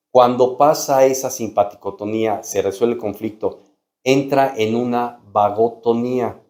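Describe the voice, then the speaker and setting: This man has a dark, mellow tone at medium pitch. His intonation is fairly even and his pace fairly slow. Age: 60s. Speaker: doctor. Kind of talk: medical explainer video.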